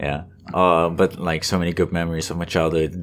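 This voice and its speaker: In a Dutch accent, a man speaks with very deep, low pitch and monotone, flat intonation. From Netherlands (northern Holland). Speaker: game development student. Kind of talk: casual chat.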